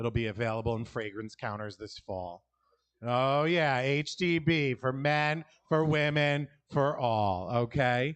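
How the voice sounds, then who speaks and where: Here a man with a New York accent talks at a fairly slow pace in a medium pitch. His pitch variation is ordinary, and the background is quiet. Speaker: stand-up comedian. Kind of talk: stand-up.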